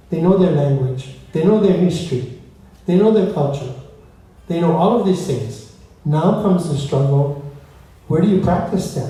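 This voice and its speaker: A man with a Hawaiian accent speaks at a high pitch and moderate pace, with ordinary pitch variation and long, frequent pauses, amid noticeable background noise and audible room echo. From Hawaii, Windward Oahu. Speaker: musician and storyteller. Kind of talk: talk between songs at a concert.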